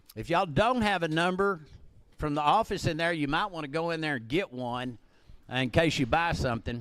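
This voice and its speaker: With an American accent, a man talks at a moderate pace with very wide pitch swings on a very clean recording with a silent background. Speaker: livestock auctioneer. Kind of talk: auction announcements. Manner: loud; casual, halting with repetitions.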